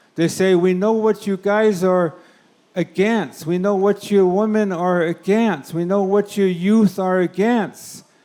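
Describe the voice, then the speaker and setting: A man with a dark, mellow tone speaks at a high pitch and a fairly slow pace, his intonation fairly even and his loudness very even. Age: 70s. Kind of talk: conference plenary speech.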